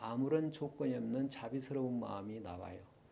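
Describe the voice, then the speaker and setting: Amid audible room echo, a man talks at a fairly quick pace and medium pitch with ordinary pitch variation. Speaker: lecturer on Eastern philosophy. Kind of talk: lecture. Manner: fast.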